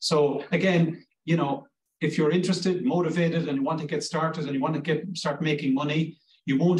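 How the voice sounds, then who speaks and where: A man with a Cork accent talks fairly quickly in a fairly high pitch, his intonation fairly even. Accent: Cork Irish. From Ireland, Cork. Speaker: language school director. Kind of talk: informational interview. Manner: halting.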